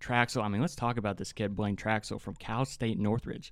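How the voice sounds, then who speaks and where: Against a quiet background, a man with a slight West Virginia accent talks at a moderate pace, his medium pitch showing ordinary pitch variation. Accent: slight West Virginia twang. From West Virginia, Hurricane. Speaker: student podcast co-host. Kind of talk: casual sports chat. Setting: studio.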